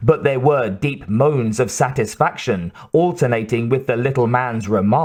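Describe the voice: The passage gets plain reading aloud, its pitch varying in an ordinary way.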